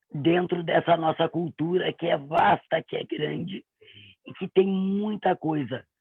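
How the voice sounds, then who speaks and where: This woman has an unremarkable speaking voice. Her pitch sits fairly low for a woman. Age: 40s. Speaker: voice performer. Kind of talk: self-introduction. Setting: livestream.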